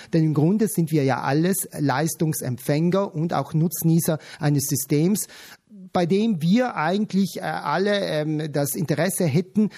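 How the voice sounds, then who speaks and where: A man's fairly high, dark and mellow voice at a fairly slow pace, with ordinary pitch variation. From South Tyrol. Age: 40s. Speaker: patient advocate. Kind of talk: radio interview.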